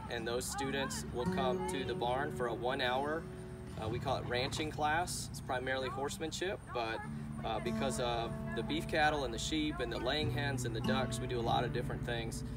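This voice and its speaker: Loud music plays behind a man talking at a moderate pace. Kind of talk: explanatory talk to camera. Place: farm machine. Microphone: camera far.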